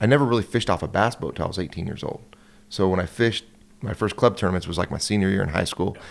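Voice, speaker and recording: With a West Coast American accent, a man talks with ordinary pitch variation on a very clean recording against a silent background. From California. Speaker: professional bass angler. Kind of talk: casual podcast interview.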